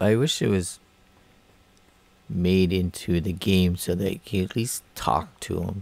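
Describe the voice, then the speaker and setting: The speech moves at a fairly slow pace with long, frequent pauses and ordinary pitch variation. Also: man, very deep, low pitch for a man. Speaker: gaming YouTuber. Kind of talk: let's play commentary.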